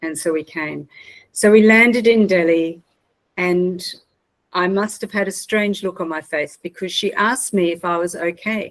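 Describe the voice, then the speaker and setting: A woman talks in an Australian accent. Her pitch is medium. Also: ordinary pitch variation, moderate pace. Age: 60s. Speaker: mental health trainer and consultant. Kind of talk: personal storytelling talk.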